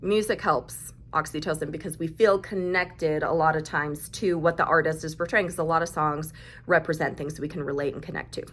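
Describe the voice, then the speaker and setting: Speaking at a fairly quick pace, a woman with a very deep, low pitch keeps her intonation fairly even while her loudness swings widely. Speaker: mental health vlogger. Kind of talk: casual talk to camera.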